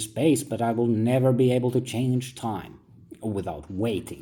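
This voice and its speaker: This man talks at a moderate pace with a medium pitch. His tone is dark and mellow and somewhat breathy. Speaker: philosophical essayist. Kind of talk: reflective monologue, like reading own book.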